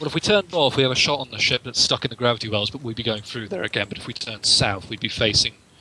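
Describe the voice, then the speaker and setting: A man at medium pitch, very fast and with hardly any pauses, lively intonation and big swings in loudness, over noticeable background noise. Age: 20s. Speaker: tabletop roleplaying game player. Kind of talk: tabletop game session, casual.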